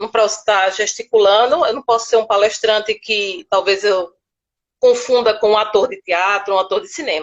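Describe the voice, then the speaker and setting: With a northeastern Brazilian accent, a woman speaks at a fairly high pitch with ordinary pitch variation. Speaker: speech therapist. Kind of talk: interview. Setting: live stream.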